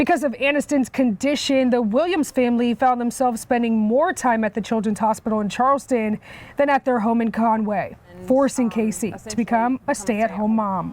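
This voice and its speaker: This woman has an unremarkable speaking voice, pitched fairly high. She talks at a fairly quick pace with ordinary pitch variation. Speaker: news reporter. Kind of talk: TV news feature voice-over.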